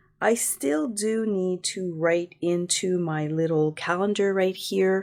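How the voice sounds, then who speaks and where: In a very clean recording with a silent background, a woman speaks in a plain, everyday voice at a fairly low pitch. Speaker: paper crafting youtuber. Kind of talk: tutorial.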